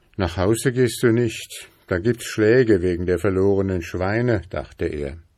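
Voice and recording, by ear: Natural voice reading aloud, pitch rising and falling in an ordinary way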